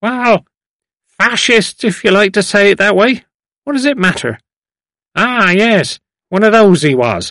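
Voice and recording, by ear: A man puts on a character voice with a bright, sharp tone and a high pitch. He speaks at a fairly slow pace with lively intonation and long, frequent pauses.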